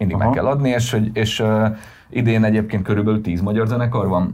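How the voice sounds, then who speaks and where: The man talks at a very fast pace. His tone is dark and mellow. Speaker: music festival co-founder and band manager. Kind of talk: casual interview.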